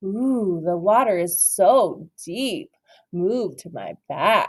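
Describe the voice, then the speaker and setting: Someone puts on a character voice at a middle pitch and a very slow pace. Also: female-sounding voice. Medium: read story. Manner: crooning, sly.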